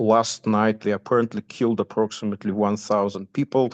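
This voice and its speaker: A man with a medium pitch speaks in a Russian accent. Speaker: commentator giving news updates. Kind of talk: informal talk within a class. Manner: halting, many fillers.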